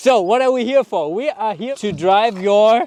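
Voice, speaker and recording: A man with a non-native accent speaks at a high pitch with ordinary pitch variation. The sound is dry and close, with no echo. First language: German. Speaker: car video host. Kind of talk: casual chat.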